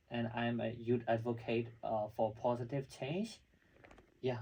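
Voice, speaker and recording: A man's somewhat breathy, medium-pitched voice at a moderate pace, with monotone, flat intonation. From Myanmar, Lashio. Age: young. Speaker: youth advocate and graduate student. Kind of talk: interview.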